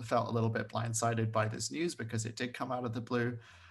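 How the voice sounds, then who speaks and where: Somewhat breathy, a man speaks at a medium pitch. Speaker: vertical farm company staff. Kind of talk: casual chat. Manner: animated.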